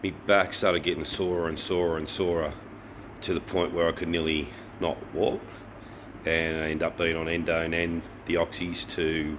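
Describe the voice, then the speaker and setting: The speech moves at a moderate pace. Background noise is noticeable. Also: man. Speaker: motorbike travel vlogger. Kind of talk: casual vlog chat. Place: garage. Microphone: phone near.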